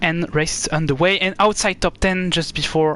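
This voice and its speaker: A man with a strong French accent. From France. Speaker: esports race commentator. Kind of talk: live commentary. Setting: live stream. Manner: halting, frequent fillers.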